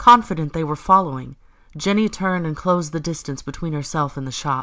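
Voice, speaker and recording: A plain, everyday voice from a woman, fairly low in pitch with ordinary pitch variation, at a moderate pace. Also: very clean recording, silent background. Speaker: audiobook narrator. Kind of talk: audiobook narration.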